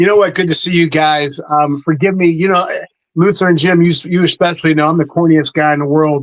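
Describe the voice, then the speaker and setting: A man with a high pitch talks at a fairly quick pace in a monotone, flat intonation, keeping his loudness very even. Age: 60s. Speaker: sports show panelist. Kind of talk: casual chat. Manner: halting, repetitive.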